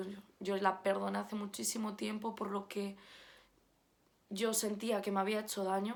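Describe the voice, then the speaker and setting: Her delivery is monotone and flat, as a woman at a medium pitch speaks at a fairly slow pace. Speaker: YouTuber sharing faith testimony. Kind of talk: personal testimony. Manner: halting, repeats words.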